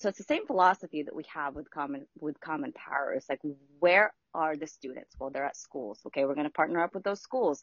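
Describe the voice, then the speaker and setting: Speaking at a fairly quick pace, a woman uses a very deep, low pitch with lively intonation. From Philippines. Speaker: nonprofit program director. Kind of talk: casual chat. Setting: remote from home.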